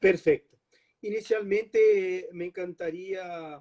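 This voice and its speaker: A man with a Brazilian accent talks at a very slow pace. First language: Portuguese (speaking Spanish). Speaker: law professor. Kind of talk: lecture.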